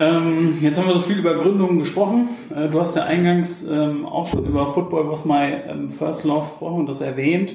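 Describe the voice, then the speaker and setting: A high-pitched man speaks at a moderate pace with hardly any pauses and ordinary pitch variation, amid audible room echo and noticeable background noise. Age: 30s. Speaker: podcast host and social media agency owner. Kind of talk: casual interview. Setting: coworking space.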